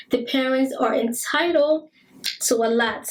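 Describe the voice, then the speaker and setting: A woman with a Liberian accent at a fairly slow pace amid noticeable background noise. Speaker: talk show host. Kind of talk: monologue commentary. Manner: repetitive emphatic.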